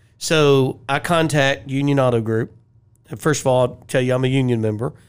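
A man speaks in an unremarkable speaking voice at a medium pitch. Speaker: podcast co-host. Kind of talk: interview.

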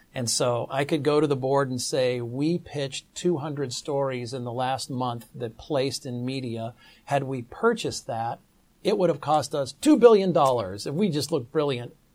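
With an American accent and an unremarkable speaking voice, a man speaks at a moderate pace with a fairly high pitch and ordinary pitch variation. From US, Pittsburgh. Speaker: business school associate dean. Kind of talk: interview.

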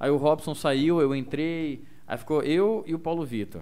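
This man's pitch sits fairly high. His tone is dark and mellow. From Mato Grosso do Sul, near Corumbá (Ladário). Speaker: radio host and stand-up comedian. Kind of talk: casual chat.

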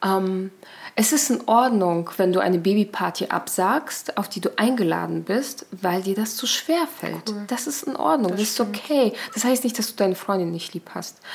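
Lively intonation from a woman at medium pitch and moderate pace, with noticeable background noise. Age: 30s. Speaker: podcast guest sharing personal story. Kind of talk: personal testimony in casual interview. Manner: animated.

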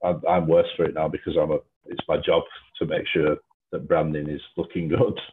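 This man speaks with a Lancashire accent. His pace is fairly quick. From Lancashire, England. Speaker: gin distillery brand developer. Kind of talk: casual interview.

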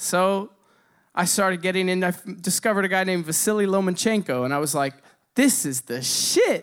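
A man with a high pitch talks at a fairly quick pace with lively intonation. The recording is very clean, with a silent background. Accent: American. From Indiana, US Midwest. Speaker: drummer and amateur boxer telling a story. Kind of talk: live storytelling on stage. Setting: stage with audience.

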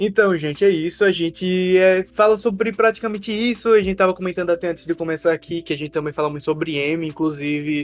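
Here a man talks at a very fast pace with hardly any pauses. His pitch is high, with ordinary variation. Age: 20s. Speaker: film website creator, student. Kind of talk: casual chat.

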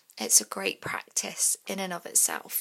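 Whispering at a moderate pace, the voice comes through on a very clean recording with a silent background. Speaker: podcast host. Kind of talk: guided practice podcast.

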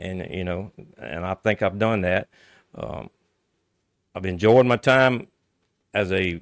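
Recorded dry and close with no echo, a man speaks with an American accent and ordinary pitch variation. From Louisiana, Avoyelles Parish. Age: 60s. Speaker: local politician. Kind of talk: interview. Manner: halting.

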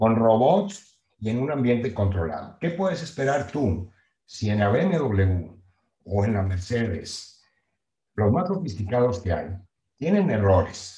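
A man talks very slowly in a somewhat breathy voice with a dark, mellow tone. His medium pitch swings very widely. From Mexico, Nueva Rosita, Coahuila. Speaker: real estate project management company founder. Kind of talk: interview.

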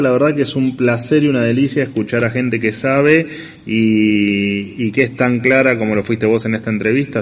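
Speaking in an Argentine accent, a man keeps a moderate pace at medium pitch. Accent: Rioplatense Argentine Spanish. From Argentina, La Plata. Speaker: radio show host and economic commentator. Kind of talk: radio editorial and interview, casual. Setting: radio studio, streamed on video. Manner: hesitant, many fillers and repetitions.

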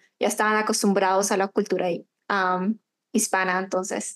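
A woman's voice over a quiet background. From Colombia, Bogotá, then Chile. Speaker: marketing agency owner. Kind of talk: interview.

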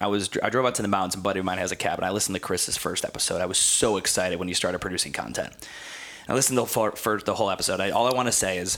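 Over noticeable background noise, a man with an American accent talks at a very fast pace, a fairly low pitch and with fairly even intonation. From Ohio, US. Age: 30s. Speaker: gym owner and fitness consultant. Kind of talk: casual interview.

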